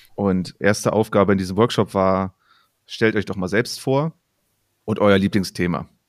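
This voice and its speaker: Very deep and low in pitch, a man talks at a moderate pace in a dry, close, echo-free recording that is very clean with a silent background. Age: 30s. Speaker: podcast co-host and volleyball coach. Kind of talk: casual chat.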